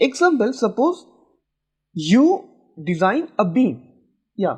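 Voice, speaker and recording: A man talks at a very slow pace, with long, frequent pauses. His pitch swings very widely. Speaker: civil engineering teacher. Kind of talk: tutorial lecture.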